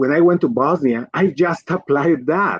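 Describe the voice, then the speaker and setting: A man speaks with a strong Colombian accent. He keeps a moderate pace and ordinary pitch variation. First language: Spanish. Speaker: physician and pharma executive. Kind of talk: livestream interview.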